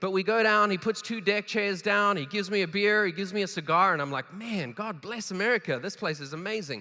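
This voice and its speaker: A man with a South African accent talks at a very fast pace in a raised, projected voice. His tone is bright and sharp, his pitch high, and the recording very clean with a silent background. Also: ordinary pitch variation. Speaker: keynote speaker. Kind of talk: keynote speech. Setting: stage with audience. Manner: animated.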